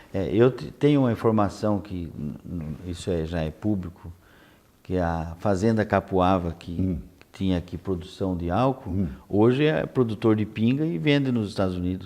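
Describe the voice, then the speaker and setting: Speaking at a moderate pace, a man uses a very deep, low voice with a dark, mellow tone and lively intonation. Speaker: TV interviewer. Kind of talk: TV interview questions.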